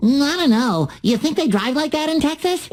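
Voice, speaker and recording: The speaker uses a put-on character voice pitched high. The pace is moderate. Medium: video game. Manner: excitable.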